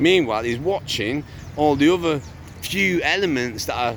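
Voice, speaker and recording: A man talks at a moderate pace and a medium pitch with lively intonation. Noticeable background noise can be heard. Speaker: father vlogging about custody dispute. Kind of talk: casual vlog. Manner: loud and rising pitch; halting, many fillers and repeats.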